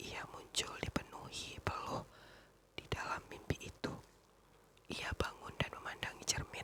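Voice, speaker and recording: The speaker whispers with long, frequent pauses. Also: fairly slow pace. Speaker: ASMR reader; teacher. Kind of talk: ASMR story reading. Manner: whispered.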